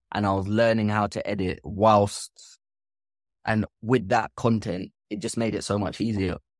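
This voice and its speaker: In an ordinary speaking voice, a man with a fairly low pitch talks fairly slowly, the sound dry and close with no echo. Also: fairly even intonation, very clean recording, silent background. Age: 30s. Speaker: filmmaker. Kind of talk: interview.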